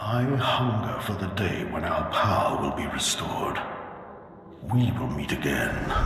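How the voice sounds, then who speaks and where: A man puts on a character voice at a medium pitch. Strong echo surrounds it. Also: moderate pace. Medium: machinima. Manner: solemn, commanding.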